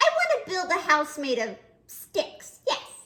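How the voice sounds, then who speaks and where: In a put-on character voice, a woman speaks at an extremely high, squeaky pitch. Her pitch swings very widely as she goes at a fairly slow pace. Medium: read story. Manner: polite.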